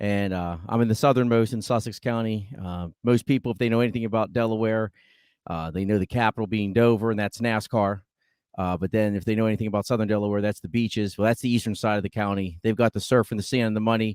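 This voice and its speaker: Speaking at a very fast pace, a man holds a fairly low pitch and fairly even intonation. The recording is very clean with a silent background, and the sound is dry and close with no echo. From Western Pennsylvania. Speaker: teacher, podcast guest. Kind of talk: casual chat.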